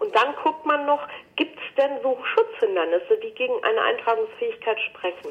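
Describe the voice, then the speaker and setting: Over noticeable background noise, a woman with a high pitch talks at a moderate pace, her pitch swinging very widely. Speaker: trademark lawyer. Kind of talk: expert interview conversation.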